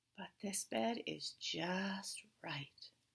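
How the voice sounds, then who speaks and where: In a put-on character voice, a woman speaks at a medium pitch. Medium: read story. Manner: picky, judging everything.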